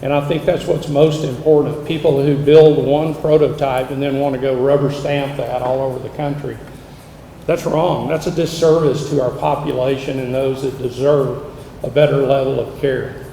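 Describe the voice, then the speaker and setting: A man's fairly high voice at a moderate pace, flat and monotone, with audible room echo and noticeable background noise. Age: 60s. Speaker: senior living company founder. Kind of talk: public speech.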